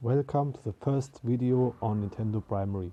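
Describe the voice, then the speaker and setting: Fairly even intonation marks this man's speech, delivered with a non-native accent. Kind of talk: casual talk to camera. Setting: poor-quality microphone. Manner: improvised, unscripted.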